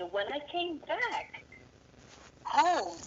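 Through noticeable background noise, a woman's voice makes very wide pitch swings. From Netherlands. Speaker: musician and sound healer. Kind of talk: interview. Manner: hesitant, many fillers.

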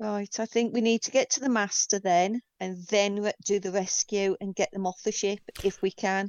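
A woman talks in a normal speaking voice at a moderate pace. Her pitch is medium, and her intonation is fairly even. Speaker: tabletop game player. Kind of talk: role-playing game actual play.

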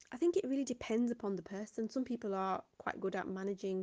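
Speaking with a British accent, a woman has a dark, mellow tone, ordinary pitch variation, and a moderate pace. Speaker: school teacher. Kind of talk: interview.

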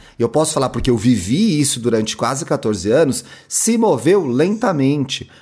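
On a very clean recording with a silent background, a man speaks with vocal fry and lively intonation. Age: 30s. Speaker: podcaster and media consultant. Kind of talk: casual interview chat.

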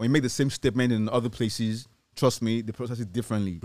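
Speaking at a very fast pace, a man with a Nigerian accent keeps a monotone, flat intonation. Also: very clean recording, silent background. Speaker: radio co-host. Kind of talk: casual chat. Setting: studio.

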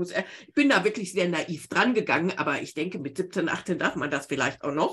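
A woman speaks with very wide pitch swings. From Bavaria, Garmisch-Partenkirchen (born Remscheid). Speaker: book-writing coach. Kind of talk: interview.

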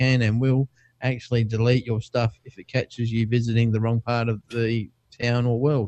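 Speaking at a fairly quick pace, a man with an Australian accent keeps a medium pitch and monotone, flat intonation. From Perth, Western Australia. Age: 40s. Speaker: tech podcast co-host. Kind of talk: casual chat.

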